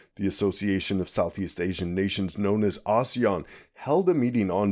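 A man with an unremarkable speaking voice talks at a moderate pace on a very clean recording with a silent background. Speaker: podcast host. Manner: brisk, formal newsreader delivery, steady and even, with occasional dry humor.

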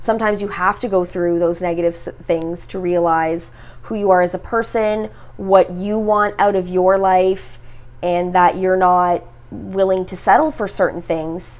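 With a normal speaking voice, a woman talks at a fairly slow pace, her medium pitch carrying fairly even intonation. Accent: Canadian. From Ontario, Canada (Mississauga). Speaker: podcast host. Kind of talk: casual chat. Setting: guest's studio.

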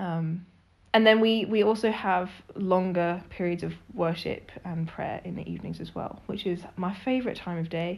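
Speaking in an unremarkable speaking voice, a woman keeps a medium pitch, a moderate pace and fairly even intonation. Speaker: missionary. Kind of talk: casual interview chat.

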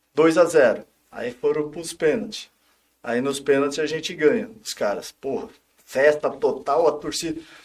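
At a fairly slow pace, a man speaks in a fairly high voice with lively intonation. His loudness swings widely. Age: 50s. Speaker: former footballer and coach. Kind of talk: casual interview chat. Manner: calm.

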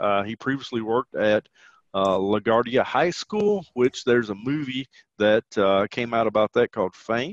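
Against a quiet background, a man with a Southern US accent speaks at a moderate pace in a medium pitch with ordinary pitch variation, the sound dry and close with no echo. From Tennessee, US South. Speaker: teacher and podcast host. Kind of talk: casual podcast conversation.

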